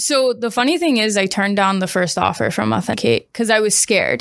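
A woman's normal speaking voice at medium pitch with an American accent and ordinary pitch variation, on a very clean recording with a silent background. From US Midwest (Springfield, Missouri). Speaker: tech sales account executive. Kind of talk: podcast interview.

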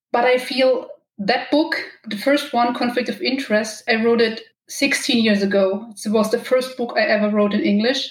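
A woman talks in a German accent at a moderate pace. Her intonation stays fairly even. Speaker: romance novelist. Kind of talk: interview.

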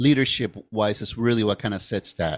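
A man with an ordinary speaking voice at medium pitch, talking at a fairly quick pace in a very clean recording with a silent background and a dry, close sound with no echo. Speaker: podcast host. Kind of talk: casual interview.

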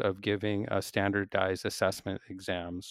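A man talks at a fairly slow pace with a Pacific Northwest accent. The sound is dry and close, with no echo. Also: very clean recording, silent background. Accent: American (Pacific Northwest). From US Pacific Northwest (Seattle). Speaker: physics professor. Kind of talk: interview. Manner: halting, many fillers and restarts.

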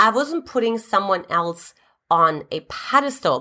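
The delivery is fairly slow and animated, with very wide swings in pitch. The tone is bright and sharp, with a German accent. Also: woman, very clean recording, silent background. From Eastern Germany. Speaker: relationship coach. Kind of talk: scripted-style video talk, advice. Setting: YouTube video. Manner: animated, motivational.

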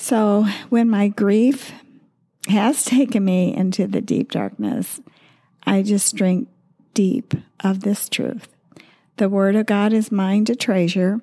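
On a very clean recording with a silent background, a woman in a slight Midwestern accent speaks at a very slow pace with long, frequent pauses, her tone dark and mellow and her loudness very even. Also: medium pitch for a woman, fairly even intonation. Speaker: podcast co-host, widow and former pastor's wife. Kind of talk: devotional talk. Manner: halting, with many fillers.

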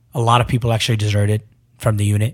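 Speaking at a very fast pace with an Iraqi accent, a man uses a somewhat breathy voice of fairly low pitch. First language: Arabic. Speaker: former spy and interpreter. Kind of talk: interview, storytelling.

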